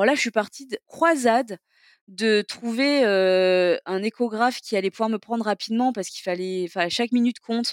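An ordinary speaking voice at a fairly quick pace with ordinary pitch variation, dry and close with no echo. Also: woman. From southeastern France, Toulon area. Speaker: entrepreneur, cancer survivor. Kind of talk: interview testimony.

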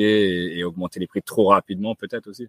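Speaking at a very fast pace, a man has a fairly low pitch. The recording is very clean, with a silent background and a dry, close sound with no echo. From France. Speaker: podcast host, real estate investor. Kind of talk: casual interview. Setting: outdoors in the sun.

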